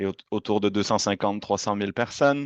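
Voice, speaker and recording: A man with a Quebec accent speaks at a fairly low pitch, recorded dry and close with no echo against a quiet background. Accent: Quebec French accent, noticeable. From Quebec, Montreal. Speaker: university representative. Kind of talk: presentation. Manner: hesitant, many fillers.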